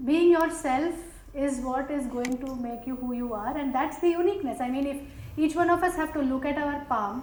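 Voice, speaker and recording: In a slight South Indian accent, a woman with a high pitch and ordinary pitch variation speaks at a moderate pace amid noticeable background noise and audible room echo. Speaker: panelist, business executive. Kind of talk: panel discussion. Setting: stage with audience.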